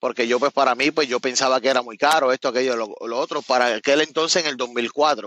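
With a Puerto Rican accent, a man talks at a fairly quick pace with hardly any pauses, in a bright, sharp tone at medium pitch with fairly even intonation, the sound dry and close with no echo over a quiet background. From Puerto Rico, Cabo Rojo. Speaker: truck owner-operator, former chef. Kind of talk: casual interview chat.

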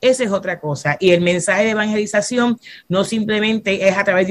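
This woman speaks at a fairly quick pace in a Puerto Rican accent, with ordinary pitch variation. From Puerto Rico, Fajardo. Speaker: pastor. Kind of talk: casual chat.

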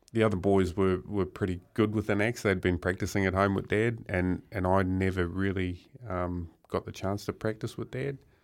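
In a New Zealand accent, a man with a very deep, low voice talks at a moderate pace with fairly even intonation on a very clean recording with a silent background. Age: 40s. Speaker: professional wood chopper. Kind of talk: radio interview.

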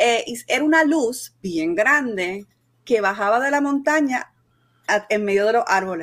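Her intonation lively and her pitch fairly high, a woman speaks in an ordinary speaking voice. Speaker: podcast co-host. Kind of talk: casual banter about a movie.

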